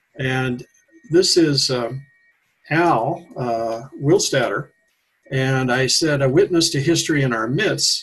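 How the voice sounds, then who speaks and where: Somewhat breathy and fairly high-pitched, a man with an American accent speaks at a fairly slow pace with ordinary pitch variation. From US Pacific Northwest, Washington. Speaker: retired educator and local historian. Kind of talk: radio interview. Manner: halting.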